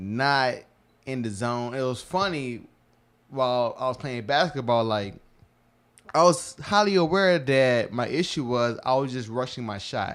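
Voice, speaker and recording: The speaker talks at a fairly slow pace in an unremarkable speaking voice. The intonation is lively. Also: man, medium pitch for a man. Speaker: podcast co-host. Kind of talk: casual chat.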